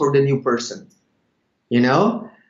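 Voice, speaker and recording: A man with a Brazilian accent talks at a moderate pace and a fairly high pitch. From Brazil, Sao Paulo. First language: Portuguese. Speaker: network marketing leader. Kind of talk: interview. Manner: halting, many fillers.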